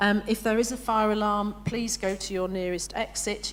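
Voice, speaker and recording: With a northern English accent, a woman speaks at a medium pitch and a moderate pace. Her intonation is fairly even, and room echo is audible. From northern England. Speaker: professional association president. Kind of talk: conference opening address. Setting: conference hall with live audience. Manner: hesitant, many fillers.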